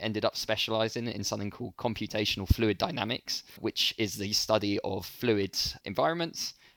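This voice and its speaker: With a London accent and fairly even intonation, the speaker goes at a fairly quick pace, the sound dry and close with no echo, the recording very clean with a silent background. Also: man. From London, England. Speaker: startup founder and CEO. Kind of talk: interview conversation.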